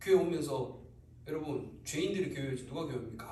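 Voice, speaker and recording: A man talks with ordinary pitch variation, and audible room echo hangs around his voice. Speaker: church member giving testimony. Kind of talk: testimony. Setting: church service. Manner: animated.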